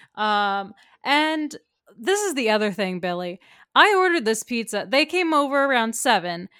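Her bright, sharp voice swings very widely in pitch. The woman is heard in a very clean recording with a silent background. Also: fairly high pitch for a woman, moderate pace. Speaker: podcast co-host. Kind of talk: casual chat.

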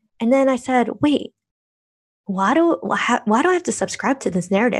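An American accent from a woman with a high pitch, lively intonation, and a moderate pace. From United States (Korean American). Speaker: blogger and podcaster. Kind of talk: interview conversation.

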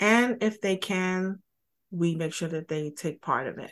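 Against a quiet background, a woman with an unremarkable speaking voice, a fairly low pitch and an American accent speaks at a moderate pace. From Brooklyn, New York. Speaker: financial services entrepreneur. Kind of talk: interview.

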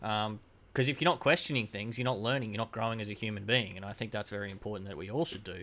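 Very fast speech from a man with an Australian accent, fairly low in pitch, bright and sharp in tone, with ordinary pitch variation and big swings in loudness, on a very clean recording with a silent background. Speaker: podcast guest. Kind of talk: casual chat.

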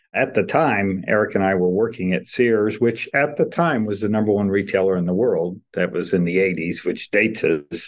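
In a normal speaking voice, a man talks at a moderate pace with hardly any pauses, his fairly low pitch showing ordinary pitch variation. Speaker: entrepreneur. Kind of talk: interview, casual chat.

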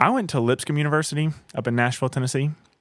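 A man with a Southern US accent, at a fairly quick pace, with ordinary pitch variation. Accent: Southern US (Georgia). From rural north Georgia (Blairsville). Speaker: thru-hiker. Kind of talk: casual interview. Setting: cabin in the mountains.

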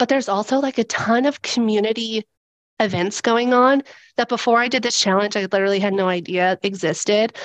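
A woman with a plain, everyday voice talks at a moderate pace and fairly high pitch, her pitch varying in an ordinary way, with a dry, close sound with no echo and a quiet background. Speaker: stay-at-home mom. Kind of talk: casual chat.

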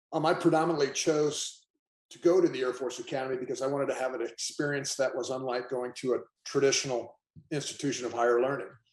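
Talking at a very fast pace, a man with a fairly high pitch keeps a fairly even intonation while his loudness swings widely. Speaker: former football player. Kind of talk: casual chat.

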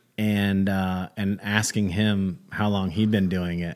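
Recorded very cleanly against a silent background, a man with an American accent has an ordinary speaking voice, a fairly low pitch and fairly even intonation. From North Carolina, Gastonia. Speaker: comedian. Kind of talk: casual chat.

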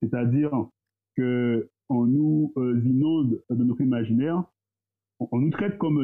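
The delivery is fairly slow, with long, frequent pauses. Loudness stays very even, and pitch varies in an ordinary way. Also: man. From Guadeloupe. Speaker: entrepreneur. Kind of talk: casual discussion.

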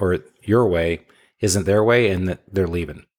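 The recording is very clean, with a silent background. A man with an American accent and a normal speaking voice talks in a fairly low pitch with ordinary pitch variation. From Michigan. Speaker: home repair business owner. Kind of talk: interview.

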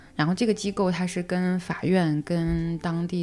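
Music runs in the background while a woman talks. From China. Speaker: single mother sharing her story. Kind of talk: personal story in casual interview.

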